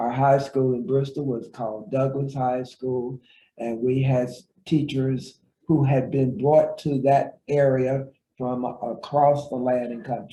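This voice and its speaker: A man with an American accent speaks fairly slowly in a dark, mellow, somewhat breathy voice with fairly even intonation. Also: medium pitch for a man. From southwest Virginia, US. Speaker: retired professor and author. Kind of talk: interview.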